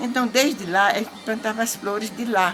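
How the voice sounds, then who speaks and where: Over noticeable background noise and audible room echo, a woman speaks at a moderate pace, her fairly high pitch varying in an ordinary way. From Brazil, Paraíba (Northeast). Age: 80s+. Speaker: elderly interviewee telling life story. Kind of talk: life story interview.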